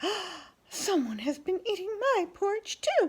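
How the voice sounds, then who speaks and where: A squeaky, female-sounding put-on character voice, extremely high in pitch and fairly slow. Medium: read story.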